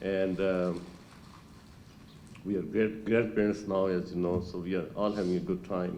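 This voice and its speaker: A man's very deep, low-pitched voice with a dark, mellow tone, monotone and flat, at a moderate pace with long, frequent pauses and audible room echo. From Pakistan, Lahore. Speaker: retired doctor at class reunion. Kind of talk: reunion speech. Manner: halting.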